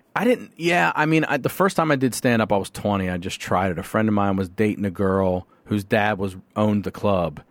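A normal speaking voice with an American accent talks at a fairly quick pace with lively intonation. The recording is very clean, with a silent background. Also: man, fairly low pitch for a man. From Carroll County, Maryland, US. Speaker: comedian and podcaster. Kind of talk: casual interview chat.

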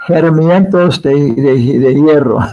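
This man speaks with an English accent at a very slow pace. His pitch is fairly high, with ordinary variation. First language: English (speaking Spanish). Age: 70s. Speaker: spiritual teacher and scholar. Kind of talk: interview. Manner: halting.

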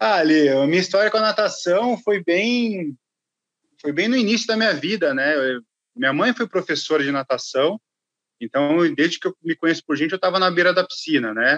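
A high male voice at a moderate pace with lively intonation and a dry, close sound with no echo. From São Paulo state interior (Limeira), Brazil. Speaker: swimming coach and sports marketer. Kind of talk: casual interview chat.

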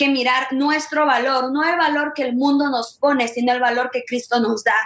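A woman's voice, high in pitch, with ordinary pitch variation. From Ecuador. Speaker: ministry member, guest panelist. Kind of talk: religious discussion, bilingual.

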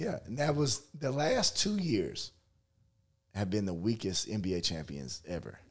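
Somewhat breathy, a man speaks at a fairly slow pace. His medium-pitched voice moves in very wide pitch swings. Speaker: podcast host. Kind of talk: casual sports debate.

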